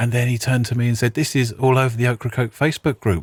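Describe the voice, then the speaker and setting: In a British accent, a somewhat breathy man speaks fairly quickly at a medium pitch, recorded very cleanly with a silent background and a dry, close sound with no echo. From Britain. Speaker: artist and podcaster. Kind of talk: storytelling podcast monologue.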